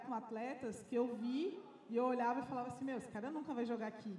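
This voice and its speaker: Over noticeable background noise, a woman talks in a monotone with flat intonation. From interior of São Paulo state, Bauru. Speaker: basketball club marketing manager. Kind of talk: panel discussion. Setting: live event with audience.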